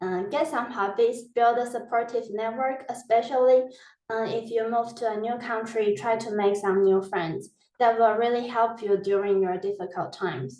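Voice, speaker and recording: Her voice is fairly high-pitched, with a dark, mellow tone. The woman keeps a moderate pace and fairly even intonation. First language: not English. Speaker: PhD researcher, webinar speaker. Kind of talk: webinar presentation. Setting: online webinar.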